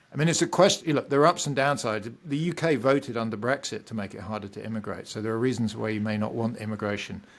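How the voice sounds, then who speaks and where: A man with a British accent talks at a very fast pace. His pitch is medium, and there are hardly any pauses. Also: ordinary pitch variation, very clean recording, silent background. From Britain. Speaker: economics professor. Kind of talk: podcast interview.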